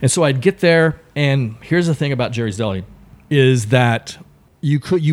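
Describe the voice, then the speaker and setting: This man speaks with an American accent at a moderate pace. His intonation is lively. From Texas. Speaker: comedian and improviser. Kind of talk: casual interview chat, storytelling.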